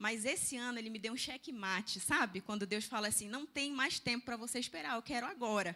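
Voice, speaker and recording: In a slight northern Brazilian accent, the voice sounds animated, bright and sharp, with ordinary pitch variation. It moves at a fairly quick pace with hardly any pauses. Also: woman, fairly high pitch for a woman. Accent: northern Brazilian (Pará), slight. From Brazil, Belém do Pará. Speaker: nutritionist and church speaker. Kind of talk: seminar talk.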